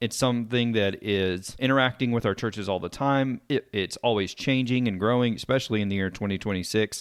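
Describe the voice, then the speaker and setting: A man with a Texan accent speaks at a fairly quick pace. His intonation is fairly even. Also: medium pitch for a man. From East Texas (Sulphur Springs). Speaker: podcast host. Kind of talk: podcast interview.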